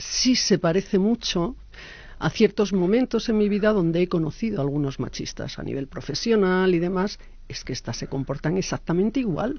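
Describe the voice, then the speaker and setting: A woman speaks at a moderate pace with lively intonation. The sound is dry with no echo. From Basque Country. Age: 50s. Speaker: association president; speaker. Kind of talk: interview. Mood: earnest, critical. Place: meeting room. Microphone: podium.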